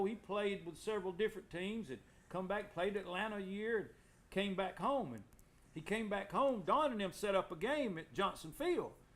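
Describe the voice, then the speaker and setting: The speaker has an American accent. The pitch varies in an ordinary way. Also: man. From Alabama, Anniston. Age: 60s. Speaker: former local baseball player. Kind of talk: casual chat.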